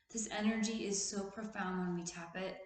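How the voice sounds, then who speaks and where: A somewhat breathy woman at a medium pitch with monotone, flat intonation and audible room echo. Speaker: therapist and video host. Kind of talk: casual motivational talk.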